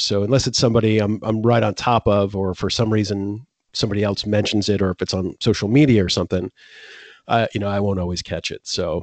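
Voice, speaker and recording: A man with a fairly low pitch talks at a fairly quick pace with fairly even intonation in a plain, everyday voice. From Florida. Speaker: music podcast host. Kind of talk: casual chat.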